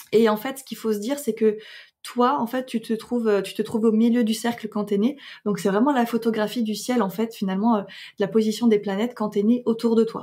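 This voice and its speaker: A woman's fairly high, dark and mellow voice at a moderate pace, with fairly even intonation, on a very clean recording with a silent background. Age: 20s. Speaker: astrologer and podcaster. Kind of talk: interview conversation. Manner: hesitant with many fillers.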